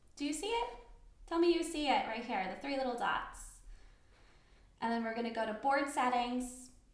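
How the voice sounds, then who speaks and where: A woman speaks at a moderate pace in a high pitch with lively intonation, leaving long, frequent pauses amid audible room echo. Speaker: software trainer. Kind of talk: tutorial. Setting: live online class. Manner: soft-spoken. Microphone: too quiet for some listeners.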